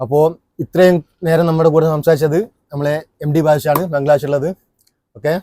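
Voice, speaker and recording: In a dry, close sound with no echo, a man with a dark, mellow tone and a fairly high pitch talks in a monotone, flat intonation. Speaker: YouTube vlogger interviewer. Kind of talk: casual interview.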